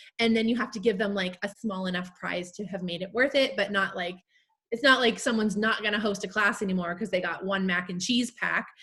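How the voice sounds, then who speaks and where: Loud and bright with a sharp tone, a woman talks at a fairly quick pace, medium pitch and fairly even intonation. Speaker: direct sales team leader. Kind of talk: panel Q&A chat. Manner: casual, filler-heavy.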